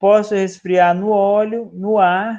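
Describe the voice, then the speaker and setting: This man speaks with a high pitch. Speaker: professor. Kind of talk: lecture.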